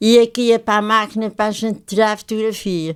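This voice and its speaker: A woman speaks in a fairly high, monotone voice at a moderate pace, in a very clean recording with a silent background. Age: 80s+. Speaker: retired photographer. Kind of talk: interview.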